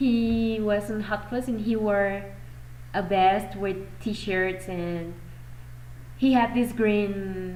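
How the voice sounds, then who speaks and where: Speaking very slowly with a Mexican accent, a woman is heard over noticeable background noise and audible room echo. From Mexico. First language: Spanish. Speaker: fan vlogger. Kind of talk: casual chat. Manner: animated.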